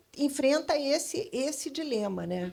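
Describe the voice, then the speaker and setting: With very wide pitch swings, a woman speaks in a somewhat breathy voice. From Brazil, Rio / São Paulo / Salvador. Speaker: advertising creative consultant. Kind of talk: panel discussion. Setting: stage with audience at literary festival. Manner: hesitant, many fillers.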